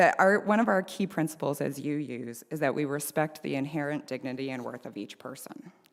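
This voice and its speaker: Using lively intonation and vocal fry, a woman speaks at a fairly quick pace. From small-town Canada. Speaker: social work professor, lay preacher. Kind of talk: sermon. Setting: church meeting house, live streamed.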